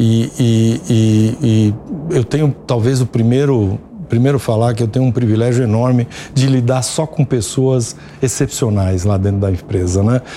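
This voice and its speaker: Over noticeable background noise, a man talks at a fairly slow pace in a medium pitch, with ordinary pitch variation and very even loudness. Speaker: business executive. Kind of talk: TV interview. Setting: studio. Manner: halting, many fillers.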